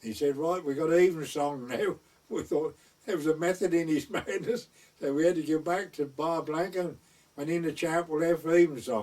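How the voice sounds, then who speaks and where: This is a man with a fairly high-pitched voice. He speaks with an East Anglian accent. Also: ordinary pitch variation, moderate pace. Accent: rural East Anglian dialect. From North Essex/West Suffolk border. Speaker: traditional storyteller, wartime gunner. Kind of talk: oral history storytelling.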